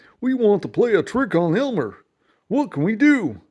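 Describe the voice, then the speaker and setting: A fairly high pitch marks this put-on character voice. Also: moderate pace, quiet background. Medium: read story.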